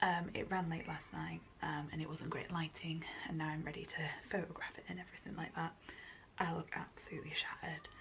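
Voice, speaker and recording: Soft-spoken at a fairly quick pace, this voice comes through over noticeable background noise. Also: woman. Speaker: lifestyle vlogger. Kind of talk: casual vlog talk to camera. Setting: at home.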